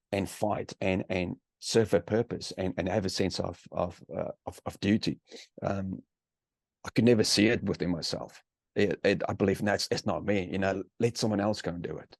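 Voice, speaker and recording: With a South African accent, a man of fairly low pitch speaks at a moderate pace with fairly even intonation, recorded dry and close with no echo. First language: Afrikaans. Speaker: author and army veteran. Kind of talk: interview. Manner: halting, many repeated words.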